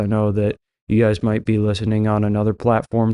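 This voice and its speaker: A man's medium-pitched voice, dry and close with no echo, against a quiet background. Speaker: Bible teaching podcaster. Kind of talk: Bible teaching podcast monologue. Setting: podcast recording. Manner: slow.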